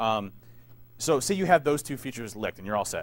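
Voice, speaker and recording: A man with a medium-pitched voice talks at a very fast pace with lively intonation. The recording is very clean, with a silent background. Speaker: security conference speaker, penetration tester. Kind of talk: conference talk. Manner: casual.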